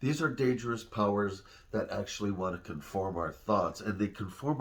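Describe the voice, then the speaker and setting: A man speaks at a moderate pace in a fairly low, somewhat breathy voice with ordinary pitch variation. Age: 60s. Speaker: father giving life advice to his daughter. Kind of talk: personal video message. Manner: conversational, with pauses and fillers.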